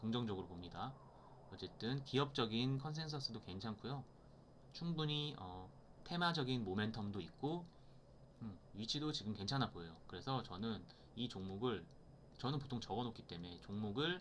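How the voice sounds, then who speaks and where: The intonation is lively, broken by long, frequent pauses. Room echo is audible throughout. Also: man, medium pitch for a man. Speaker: stock market educator. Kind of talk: tutorial. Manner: fast.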